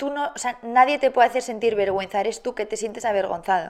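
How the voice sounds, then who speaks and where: A woman talks at a fairly quick pace in an ordinary speaking voice, with fairly high pitch and fairly even intonation. The recording is very clean, with a silent background. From Spain, Barcelona and Madrid. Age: 20s. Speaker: TV presenter and content creator. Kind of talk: casual interview.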